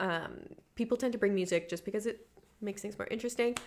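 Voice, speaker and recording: Her pitch sits in the middle range. It shifts in an ordinary way as the woman talks. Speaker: modeling instructor. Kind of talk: live online class Q&A. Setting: photo studio, livestream. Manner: fast-talking.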